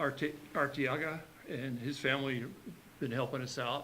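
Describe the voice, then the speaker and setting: A man's bright, sharp tone with fairly even intonation, in audible room echo. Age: 60s. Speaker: community volunteer. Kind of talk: public comment at a county meeting. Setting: county commission meeting. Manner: halting, many fillers.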